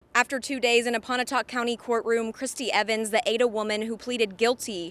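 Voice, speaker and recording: A woman's fairly high, fairly quick voice with an American accent, a plain, everyday voice. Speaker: TV news reporter and anchor. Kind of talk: studio anchor news read.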